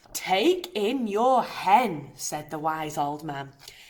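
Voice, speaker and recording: A woman puts on a character voice at a medium pitch. She talks at a very slow pace, her pitch swinging very widely. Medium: read story.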